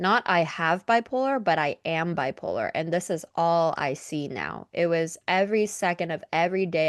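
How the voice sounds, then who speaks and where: With a plain, everyday voice, a woman speaks at a moderate pace and a fairly low pitch, her intonation lively and hardly any pauses, in a dry, close sound with no echo against a quiet background. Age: 20s. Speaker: podcast host. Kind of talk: interview.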